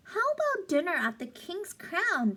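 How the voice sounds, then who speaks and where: This squeaky, put-on character voice moves at a moderate pace with very wide pitch swings. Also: woman, extremely high pitch for a woman. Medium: read story. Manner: courtly, mock-formal.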